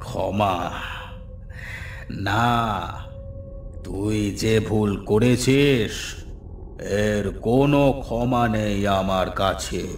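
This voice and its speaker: A man does a cartoonish character voice at a very slow pace. His pitch sits fairly low, with clear background noise behind him. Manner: menacing.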